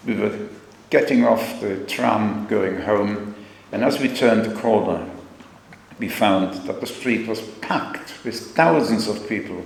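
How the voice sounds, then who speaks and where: Through noticeable background noise and audible room echo, a man with a fairly low pitch speaks at a fairly slow pace and a fairly even intonation. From Germany. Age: 90s. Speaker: Holocaust survivor. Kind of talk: testimony. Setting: school assembly. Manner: halting.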